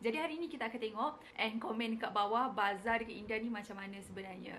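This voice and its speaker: Speech pours out very fast, with noticeable background noise throughout. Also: woman. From Malaysia. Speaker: medical student vlogger. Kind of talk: vlog narration.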